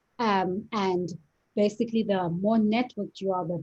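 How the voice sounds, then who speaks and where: At a fairly slow pace, a woman with an American accent speaks somewhat breathily at medium pitch. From South Africa. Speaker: lawyer and startup co-founder. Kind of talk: interview.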